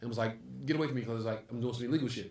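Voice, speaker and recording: In a New York accent, someone speaks in an animated tone with audible room echo. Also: man. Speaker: comedy club owner and comedian. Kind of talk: casual chat.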